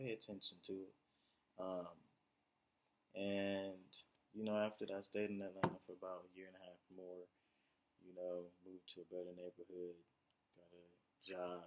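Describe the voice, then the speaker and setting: A soft-spoken man with a very deep, low pitch talks at a moderate pace in a monotone, flat way, with long, frequent pauses and big swings in loudness. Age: 20s. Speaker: vlogger. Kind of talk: personal monologue. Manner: halting.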